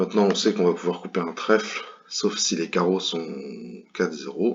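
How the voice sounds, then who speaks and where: A man's very deep, low voice moves at a moderate pace, its pitch varying in an ordinary way. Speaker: bridge commentator. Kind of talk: tutorial commentary over gameplay. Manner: hesitant, many fillers.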